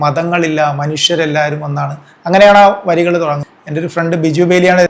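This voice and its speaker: The speech comes in a monotone, flat intonation against noticeable background noise. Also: man. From Kerala, Alappuzha district. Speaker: news photographer. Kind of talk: interview.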